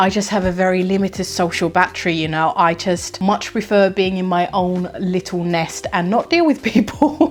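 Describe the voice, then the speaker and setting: Against noticeable background noise, a woman of medium pitch talks at a moderate pace with hardly any pauses and ordinary pitch variation. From Finland. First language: Finnish. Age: 30s. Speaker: dog groomer and content creator. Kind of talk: casual Q&A chat to camera.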